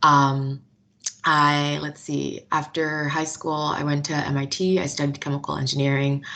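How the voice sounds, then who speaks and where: The pace is moderate. Intonation stays monotone and flat. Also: woman, very deep, low pitch for a woman. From South Florida, US (born Nigeria, moved at 8). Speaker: engineer and corporate partnership manager. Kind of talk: interview. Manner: casual with fillers.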